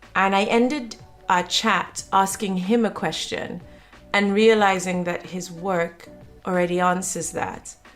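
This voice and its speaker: Music plays behind a woman who talks at a fairly slow pace with fairly even intonation. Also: medium pitch for a woman. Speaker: podcast host. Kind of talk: podcast intro and interview questions.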